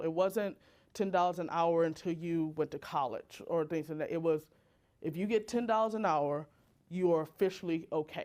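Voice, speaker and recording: A woman's ordinary speaking voice, fairly low in pitch with ordinary pitch variation, at a fairly quick pace, on a very clean recording with a silent background. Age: 30s. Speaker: designer and social impact speaker. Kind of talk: talk to an audience.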